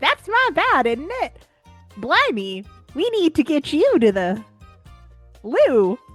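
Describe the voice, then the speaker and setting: Over faint music in the background, a woman puts on a character voice with a high pitch and very wide pitch swings at a fairly slow pace. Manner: comically exaggerated.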